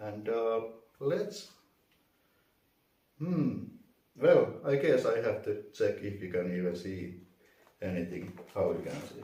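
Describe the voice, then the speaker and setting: In a non-native accent, a man talks at a very slow pace with long, frequent pauses, and audible room echo surrounds his voice. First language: not English. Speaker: vacuum reviewer. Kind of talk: unboxing tutorial. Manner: halting, many fillers.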